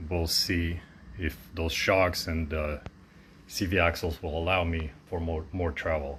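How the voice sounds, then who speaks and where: A man's very deep, low voice with a non-native accent at a moderate pace. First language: not English. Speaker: DIY mechanic. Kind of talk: casual narration of home car project.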